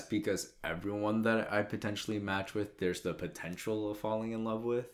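Recorded very cleanly against a silent background, a man speaks at a fairly low pitch and a moderate pace. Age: 20s. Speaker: podcast co-host. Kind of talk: casual chat.

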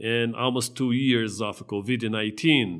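A man speaks at a fairly slow pace with a Brazilian Portuguese accent. His medium-pitched voice keeps a fairly even intonation. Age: 50s. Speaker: pastor and podcast host. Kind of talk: solo podcast monologue. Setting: studio. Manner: halting.

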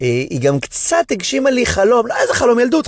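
An animated male voice over noticeable background noise. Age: 40s. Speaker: comedian. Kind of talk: casual chat.

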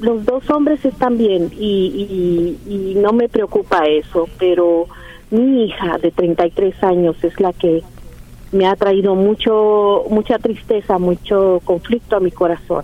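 The woman talks at a very slow pace. Her loudness stays very even. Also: medium pitch for a woman, ordinary pitch variation. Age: 60s. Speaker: caller, worried mother. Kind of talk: phone-in call to advice radio show.

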